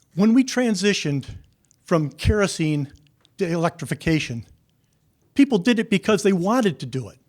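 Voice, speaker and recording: In a very clean recording with a silent background, a high-pitched man with an upstate New York accent talks at a moderate pace, swinging his pitch very widely and leaving long, frequent pauses. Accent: US Northeast (upstate New York). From New York State. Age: 70s. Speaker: public hearing commenter, retired landscape architect. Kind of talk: public comment. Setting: public hearing.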